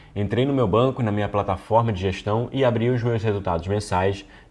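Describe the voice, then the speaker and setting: A man at a medium pitch and a fairly quick pace. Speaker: business course instructor. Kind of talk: online lecture. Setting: screen recording. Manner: not fast.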